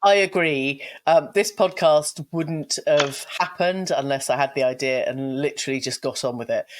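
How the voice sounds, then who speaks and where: At a moderate pace, the speaker talks with a British accent. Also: hardly any pauses. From UK. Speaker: podcast host. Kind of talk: podcast interview.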